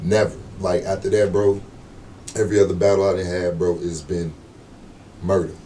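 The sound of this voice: With audible room echo around him, a man speaks at a moderate pace in a low, dark, mellow voice that shows little pitch movement.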